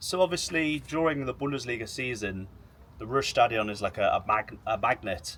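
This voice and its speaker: A man with an English accent talks at a moderate pace with ordinary pitch variation. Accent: English accent, self-described as horrible. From England. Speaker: football YouTuber. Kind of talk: interview. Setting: outdoors by the pitch in a stadium. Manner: hesitant, repeating words.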